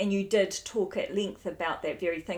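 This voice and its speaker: A woman with a New Zealand accent. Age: 40s. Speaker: podcast host, midwife. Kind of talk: interview.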